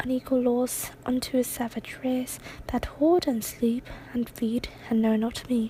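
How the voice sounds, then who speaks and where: Someone whispers at a fairly slow pace, soft-spoken throughout. Background noise is noticeable. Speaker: ASMR artist reading poetry. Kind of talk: poetry reading. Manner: soft-spoken, whispery.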